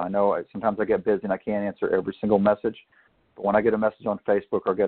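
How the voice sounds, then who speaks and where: A man speaks in a Southern US accent. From Arkansas, US South. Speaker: author and retired military officer. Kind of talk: interview.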